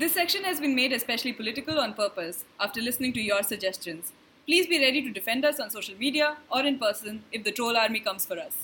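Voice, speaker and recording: Noticeable background noise sits behind a woman with a fairly high pitch. She talks at a very fast pace with lively intonation. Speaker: podcast host, writer. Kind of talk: casual chat.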